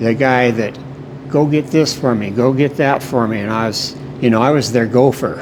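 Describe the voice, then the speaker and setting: A man speaks with an American accent at a moderate pace, his intonation fairly even. Noticeable background noise and audible room echo surround his voice. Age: 70s. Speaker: baker. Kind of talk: interview, reminiscing. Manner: halting, with fillers and repetitions.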